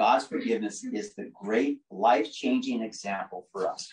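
A man's voice against a quiet background, with audible room echo. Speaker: lay preacher. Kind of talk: sermon. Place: home room. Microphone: camera far.

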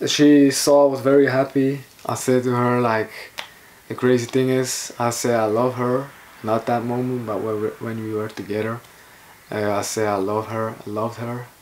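Through noticeable background noise, a man talks at medium pitch with monotone, flat intonation. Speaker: vlogger. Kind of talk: casual vlog monologue. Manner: slow.

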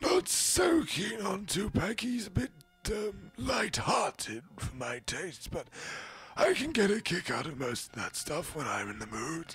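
A man does a put-on character voice, raspy and high-pitched, swinging very widely in pitch at a fairly slow pace. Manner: hesitant, slow.

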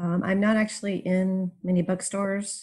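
This woman's voice is somewhat breathy. It sits fairly low in pitch. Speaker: urban fantasy author. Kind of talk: casual chat.

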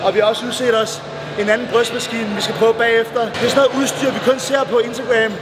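A man talking at a fairly quick pace amid loud background noise. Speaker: bodybuilder vlogger. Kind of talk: casual vlog chat. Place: gym.

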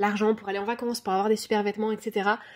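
A woman with fairly high pitch talks at a fairly quick pace on a very clean recording with a silent background. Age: 30s. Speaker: life coach. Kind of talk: casual podcast monologue. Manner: animated.

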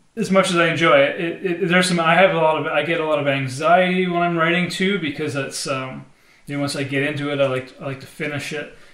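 With fairly even intonation, a man talks at a fairly quick pace and a fairly high pitch, with audible room echo. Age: 40s. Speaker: singer-songwriter. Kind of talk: casual vlog monologue. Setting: home studio. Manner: halting, many fillers. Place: studio.

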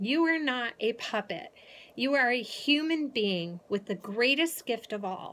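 A woman talks at a fairly slow pace. Her intonation is lively. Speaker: motivational speaker. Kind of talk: motivational vlog talk. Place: home room. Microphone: phone near.

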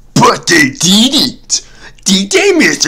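A man speaks in a cartoonish character voice pitched high. Light background noise sits behind him. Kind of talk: comic cartoon parody voice. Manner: gruff, stingy, gloating.

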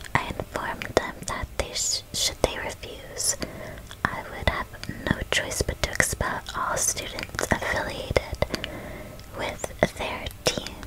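A soft-spoken woman whispering at a very slow pace with long, frequent pauses, over loud background noise. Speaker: gamer streamer. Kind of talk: casual gameplay commentary. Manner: soft ASMR whisper reading dialogue. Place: home room.

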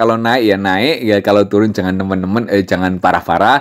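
A man speaking at a fairly quick pace. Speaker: crypto YouTuber. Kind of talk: casual tutorial. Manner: intonation sounds like angry arguing; animated.

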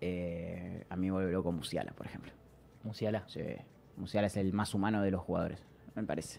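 Over light background noise, a man speaks fairly quickly with ordinary pitch variation. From Argentina. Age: 20s. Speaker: streamer and football fan guest; podcast guest. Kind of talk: casual chat. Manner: animated. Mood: relaxed, enthusiastic about football. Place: studio. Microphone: studio mic.

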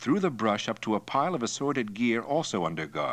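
What we hear is a plain reading of a text aloud.

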